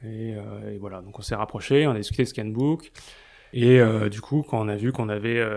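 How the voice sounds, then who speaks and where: A man talks at a fairly quick pace in a dark, mellow tone with fairly even intonation. The recording is very clean, with a silent background. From Paris. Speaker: advertising blog founder. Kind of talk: casual interview. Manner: hesitant, many fillers.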